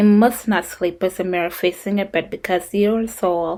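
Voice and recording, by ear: The clip is reading aloud in a natural voice.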